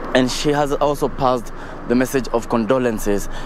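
A man speaks at a fairly slow pace with fairly even intonation. The sound is dry with no echo, and there is noticeable background noise. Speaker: TV field reporter. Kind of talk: live news report. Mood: sombre, measured. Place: street. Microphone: handheld.

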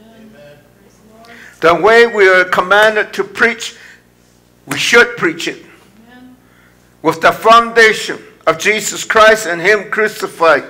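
Raising and projecting his voice, a man speaks fairly slowly at a high pitch, with long, frequent pauses, big swings in loudness and fairly even intonation. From India. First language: Indian language. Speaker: pastor. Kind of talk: sermon. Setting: church. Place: church.

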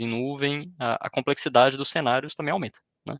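A man with a Brazilian accent, medium pitch, ordinary pitch variation and a moderate pace, in a dry, close sound with no echo. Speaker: cloud solutions architect. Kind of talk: technical webinar presentation. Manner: hesitant, many fillers.

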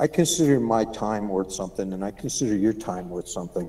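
A man's fairly low-pitched voice, dark and mellow in tone, with ordinary pitch variation. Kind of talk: meeting discussion remarks. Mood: calm, explanatory.

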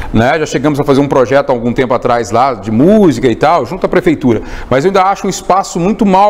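A man speaks at a very fast pace. His fairly high voice has lively intonation. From city of Goiás, Goiás, Brazil. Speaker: interviewer, news outlet host. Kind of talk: interview, conversational. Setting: studio. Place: studio. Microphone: lapel.

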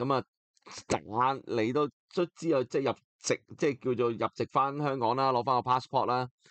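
The setting is quiet. A man does the talking. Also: dry, close sound with no echo. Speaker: football podcast host. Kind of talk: solo football talk show. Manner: casual, filler-heavy.

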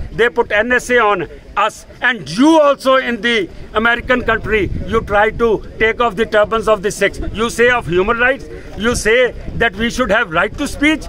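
With a raised, projected voice at an extremely high pitch, a man speaks at a moderate pace with ordinary pitch variation and very even loudness, in a dry sound with no echo over light background noise. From India (Delhi). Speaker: Sikh community activist. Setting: outdoors at a protest outside an embassy. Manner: indignant and confrontational, piling up accusations and demands; halting with fillers and repetitions, then punchy defiant short sentences. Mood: angry, defiant. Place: street. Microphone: phone near.

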